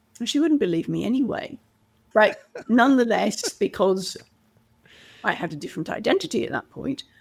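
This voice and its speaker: A woman with vocal fry talks at a fairly quick pace and fairly high pitch, with very wide pitch swings and long, frequent pauses. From Canada. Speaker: communication coach. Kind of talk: interview conversation.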